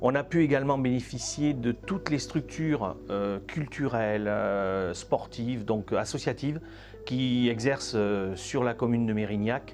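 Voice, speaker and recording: A man's medium-pitched voice with ordinary pitch variation at a fairly slow pace. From French Pyrenees, village. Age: 60s. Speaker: retired schoolteacher and volleyball coach. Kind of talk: interview testimony. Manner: halting, many hesitations.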